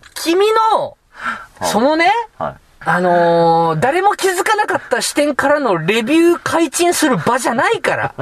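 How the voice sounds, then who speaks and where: A man speaks at an extremely high pitch, swinging very widely in pitch. Noticeable background noise runs underneath. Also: moderate pace. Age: 30s. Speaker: comedian podcast host. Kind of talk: casual chat; announcement.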